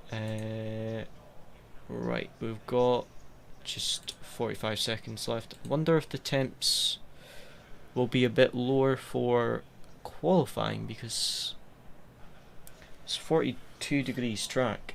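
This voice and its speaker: Delivered in a strong Scottish accent, the speech is very slow, with long, frequent pauses. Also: man. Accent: Scottish, quite strong. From west coast of Scotland. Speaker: sim racing streamer. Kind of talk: live gameplay commentary. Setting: live stream.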